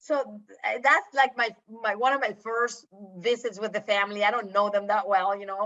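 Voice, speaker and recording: Bright and sharp in tone, a woman's fairly high voice moves at a moderate pace with fairly even intonation. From Latin America. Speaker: behavior analyst and parent. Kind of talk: webinar panel storytelling. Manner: hesitant, many fillers.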